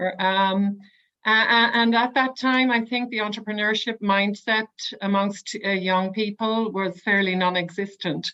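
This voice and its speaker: A woman with a bright, sharp tone and medium pitch talks at a fairly slow pace with fairly even intonation. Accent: Irish. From Ireland. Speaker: webinar moderator. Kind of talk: webinar panel moderation.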